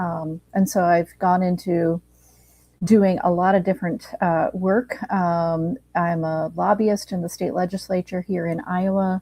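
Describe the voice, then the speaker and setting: A woman's dark, mellow, somewhat breathy voice, fairly slow, with fairly even intonation. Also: medium pitch for a woman. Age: 60s. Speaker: mental health advocate and lobbyist. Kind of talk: podcast interview.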